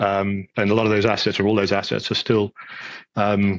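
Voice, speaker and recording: A man with a British accent, a fairly low pitch, a bright, sharp tone and monotone, flat intonation, talking at a fairly quick pace in a dry, close sound with no echo. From UK. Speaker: data center executive. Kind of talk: interview. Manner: hesitant, many fillers.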